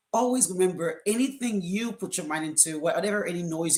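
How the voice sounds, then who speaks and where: With a strong Caribbean accent, a woman speaks at a fairly low pitch with ordinary variation. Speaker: co-author of a book. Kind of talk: live stream panel talk. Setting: live video stream. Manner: hesitant, many fillers.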